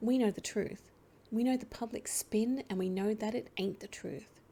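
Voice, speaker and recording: Soft-spoken and fairly slow, a woman talks in a fairly high pitch with a dark, mellow tone and ordinary pitch variation. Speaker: let's play gamer. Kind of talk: comic book reading.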